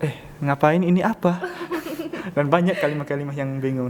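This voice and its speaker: A man with a Pattani accent, fairly high in pitch, at a fairly quick pace, with noticeable background noise. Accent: Pattani Malay accent in Indonesian. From southern Thailand (Pattani). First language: Pattani Malay (speaking Indonesian). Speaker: international student. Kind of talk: podcast interview. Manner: halting.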